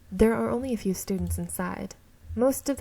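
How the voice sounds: The clip features a natural reading voice.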